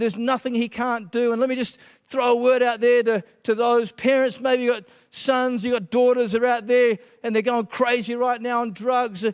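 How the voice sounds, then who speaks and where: An extremely high-pitched man's voice in an Australian accent, monotone and flat, at a moderate pace. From Western Australia (Perth), born in Scotland. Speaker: pastor. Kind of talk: testimony. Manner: hesitant, many filler uhs.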